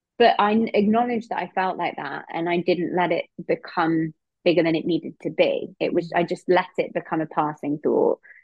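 At a moderate pace, a voice in an English accent is heard speaking. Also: woman, fairly low pitch for a woman, ordinary pitch variation. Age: 30s. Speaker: EFT and eating disorder practitioner. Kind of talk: casual interview chat.

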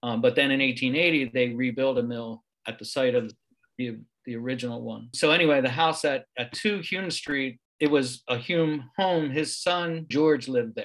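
This man has an unremarkable speaking voice at a medium pitch, with an American accent. His pitch varies in an ordinary way. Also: moderate pace. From Pennsylvania, Levittown. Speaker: local history author. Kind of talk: interview.

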